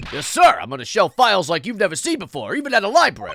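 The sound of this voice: A squeaky, put-on character voice, fairly high in pitch, at a very fast pace.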